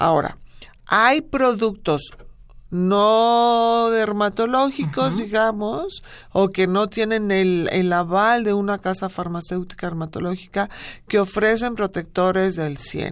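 Recorded very cleanly against a silent background, a woman with a medium pitch and ordinary pitch variation speaks at a very slow pace. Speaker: dermatologist. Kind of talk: radio interview.

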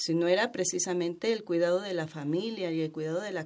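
A woman speaks in a normal speaking voice, fairly low in pitch, at a fairly quick pace. The recording is very clean with a silent background. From Mexico, Chiapas. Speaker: traditional midwife. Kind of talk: radio interview.

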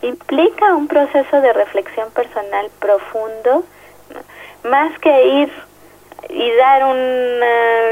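A woman speaks with a Mexico City accent. Her pitch varies in an ordinary way. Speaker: social psychologist. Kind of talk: interview. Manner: hesitant, with fillers.

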